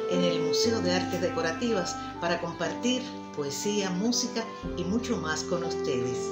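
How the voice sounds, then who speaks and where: Loud music plays in the background. A woman speaks at a fairly slow pace. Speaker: radio announcer and journalist. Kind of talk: anniversary greeting message to camera. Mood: warm, smiling, friendly. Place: home room. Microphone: phone near.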